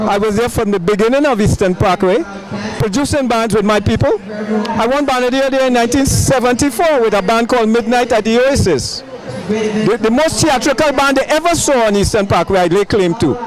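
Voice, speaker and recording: A man at an extremely high pitch, with ordinary pitch variation, a fairly quick pace, very even loudness and noticeable background noise. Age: 70s. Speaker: carnival band producer. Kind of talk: on-location interview.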